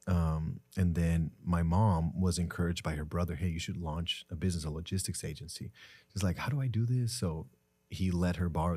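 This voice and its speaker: Fairly quick in pace, a man speaks with a very deep, low pitch and a dark, mellow tone. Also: very clean recording, silent background. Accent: Spanish. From Mexico, Tijuana. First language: Spanish. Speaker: entrepreneur. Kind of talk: podcast interview.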